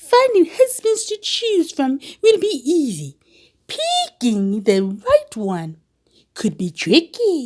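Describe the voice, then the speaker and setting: In a put-on character voice, a woman goes very slowly at an extremely high pitch with very wide pitch swings. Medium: read story.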